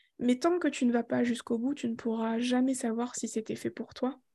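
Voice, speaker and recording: Her voice is high-pitched with a dark, mellow tone, captured on a very clean recording with a silent background. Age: 20s. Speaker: energy therapy school founder. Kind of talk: casual chat.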